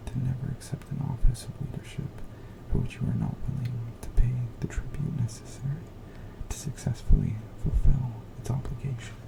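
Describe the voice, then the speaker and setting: Soft-spoken delivery at a moderate pace, with long, frequent pauses and music in the background. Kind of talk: ASMR soft-spoken book reading to help sleep.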